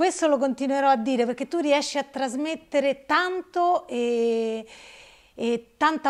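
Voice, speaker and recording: A fairly slow pace with ordinary pitch variation against a quiet background. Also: woman. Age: 50s. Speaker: interviewee sharing her story; interviewee. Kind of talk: personal testimony. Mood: earnest, slightly emotional. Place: home room. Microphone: lapel.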